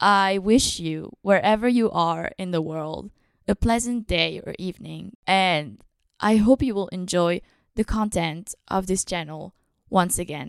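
Here is a plain, everyday voice at a fairly slow pace with ordinary pitch variation. The sound is dry and close with no echo. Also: woman, medium pitch for a woman. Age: 20s. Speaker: podcast host, filmmaking student. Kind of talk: scripted podcast introduction.

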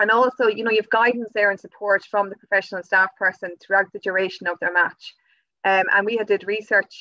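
Speaking at a fairly quick pace in an Irish accent, a woman with a medium pitch and a bright, sharp tone keeps a monotone, flat intonation, the sound dry and close with no echo. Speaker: youth work officer. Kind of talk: interview.

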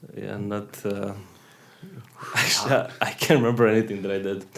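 A man with a fairly low pitch speaks with fairly even intonation and long, frequent pauses. His loudness swings widely over noticeable background noise. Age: 30s. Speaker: podcast co-host, musician. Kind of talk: casual banter. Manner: joking, playful.

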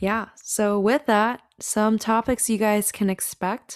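Medium-pitched female voice at a very slow pace, dry and close with no echo. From US Pacific Northwest (Washington state). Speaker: podcast co-host, seminary student. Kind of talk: casual chat.

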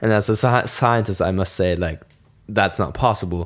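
A fairly low-pitched man with a German accent and fairly even intonation, in a very clean recording over a silent background. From southern Germany, near Munich. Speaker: student podcast co-host. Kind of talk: casual chat.

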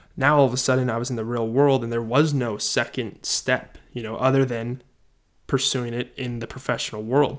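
Monotone and flat in delivery, the man's voice sits at a medium pitch. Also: moderate pace. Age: 20s. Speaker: podcaster. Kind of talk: solo podcast monologue. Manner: casual, with many filler words.

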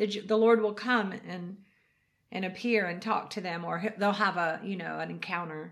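A woman with vocal fry keeps a moderate pace and fairly even intonation. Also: medium pitch for a woman. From US. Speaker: ministry leader, former singer. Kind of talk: testimony.

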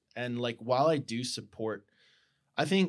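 A man's plain, everyday voice at medium pitch, with lively intonation and a fairly quick pace. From US Midwest (Colorado, rural Nebraska). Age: 30s. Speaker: photographer and podcast host. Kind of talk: casual chat.

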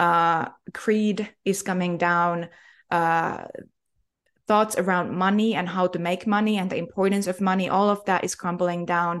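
A woman with an ordinary speaking voice talks at a medium pitch, her intonation fairly even against a quiet background. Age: young. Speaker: spiritual healer. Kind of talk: interview.

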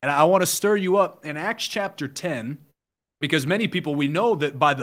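With an American accent, a man with a plain, everyday voice and a fairly high pitch talks at a moderate pace with lively intonation, recorded very cleanly against a silent background. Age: 20s. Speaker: online evangelist. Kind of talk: casual chat with preaching.

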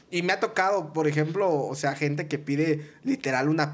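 A man speaks in an unremarkable speaking voice at a moderate pace. His pitch is fairly high with ordinary variation, and the recording is very clean with a silent background. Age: 30s. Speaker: entertainment producer. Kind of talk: casual chat.

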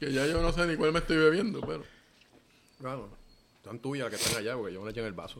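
Speech comes at a very fast pace with lively intonation, big swings in loudness and long, frequent pauses. Room echo is audible, along with noticeable background noise. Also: man, medium pitch for a man. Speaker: podcast co-host. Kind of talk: casual chat.

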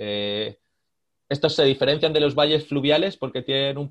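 The speaker is a man. He has ordinary pitch variation. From Spain, Madrid. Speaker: glaciologist, researcher. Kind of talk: interview, explanatory. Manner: halting, many fillers and repetitions.

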